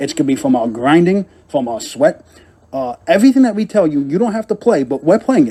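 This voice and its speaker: Very wide pitch swings mark a man speaking at a very fast pace. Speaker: fantasy sports podcast co-host. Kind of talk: casual podcast chat. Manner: halting, with many fillers.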